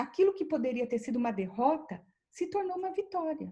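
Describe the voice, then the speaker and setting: A woman speaks in a dark, mellow tone. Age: 60s. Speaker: professor and researcher. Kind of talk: interview. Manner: halting.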